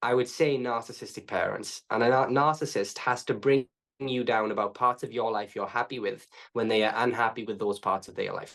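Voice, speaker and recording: Speaking at a fairly quick pace, a man uses a medium pitch. His intonation stays fairly even. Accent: Welsh. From Wales. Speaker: trauma coach. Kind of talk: podcast interview. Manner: fast.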